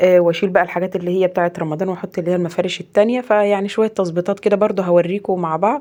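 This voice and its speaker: Talking at a very fast pace, a woman with a medium pitch has a dark, mellow tone and fairly even intonation. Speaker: home vlogger, mother. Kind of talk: casual vlog narration.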